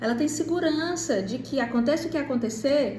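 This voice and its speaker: At a moderate pace, a woman talks with ordinary pitch variation amid audible room echo. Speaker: parenting educator. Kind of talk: monologue to camera.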